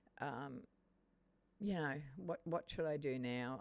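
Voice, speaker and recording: An Australian-accented woman with a very deep, low pitch and lively intonation. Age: 70s. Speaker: gaming streamer. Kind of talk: live game stream commentary. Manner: halting.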